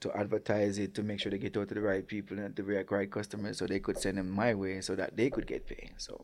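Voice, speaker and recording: A man with a Jamaican accent talks at a fairly quick pace in a fairly low, dark, mellow voice on a very clean recording with a silent background. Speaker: restaurant owner and chef. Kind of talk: casual interview.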